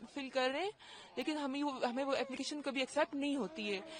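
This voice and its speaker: High female pitch amid clearly audible background noise. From Pakistan-administered Kashmir, Muzaffarabad. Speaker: deportee. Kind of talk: street interview.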